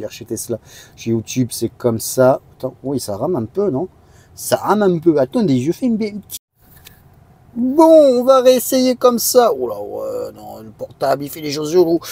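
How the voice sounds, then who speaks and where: Dark and mellow in tone, a man's voice moves at a fairly slow pace with very wide pitch swings and big swings in loudness. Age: 20s. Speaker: car youtuber. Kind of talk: tutorial. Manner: halting.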